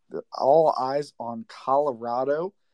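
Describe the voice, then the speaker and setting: This is a plain, everyday voice, a man with an American accent. His pitch is fairly high, with ordinary variation. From St. Louis, Missouri. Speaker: caller. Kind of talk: casual chat. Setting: live audio chat space.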